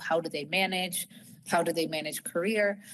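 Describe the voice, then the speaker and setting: This is a woman with an ordinary speaking voice and an American accent. She talks at a moderate pace with fairly even intonation. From United States. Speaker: fertility clinic executive. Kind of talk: webinar talk. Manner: casual, with frequent fillers.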